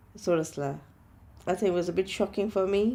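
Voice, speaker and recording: In a Gujarati accent, a woman speaks at a moderate pace with medium pitch, a dark, mellow tone and fairly even intonation. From Kenya and Gujarat, India. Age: 60s. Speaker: interviewee in documentary. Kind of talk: interview. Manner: halting.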